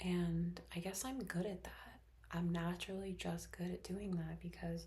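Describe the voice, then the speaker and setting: The voice is soft-spoken. It keeps a moderate pace. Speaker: teacher and ASMR creator. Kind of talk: ASMR stream of consciousness talk. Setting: bedroom at home. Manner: slightly louder than usual whisper.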